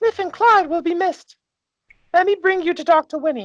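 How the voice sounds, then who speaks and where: A squeaky put-on character voice at an extremely high pitch and a fairly quick pace. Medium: actual play.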